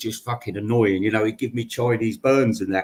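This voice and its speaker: Male speech at a medium pitch, its pitch variation ordinary. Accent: British. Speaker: podcaster. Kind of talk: casual storytelling monologue. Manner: halting, many false starts.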